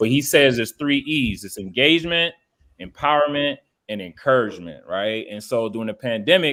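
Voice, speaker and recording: The speaker has an animated tone and lively intonation at a fairly quick pace. Loudness swings widely. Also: man, medium pitch for a man. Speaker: STEM teacher and podcaster. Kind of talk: panel podcast conversation.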